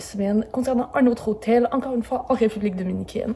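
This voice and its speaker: A woman's fairly high voice with ordinary pitch variation against noticeable background noise. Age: 20s. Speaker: travel YouTuber. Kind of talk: hotel review vlog. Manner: casual, with many fillers.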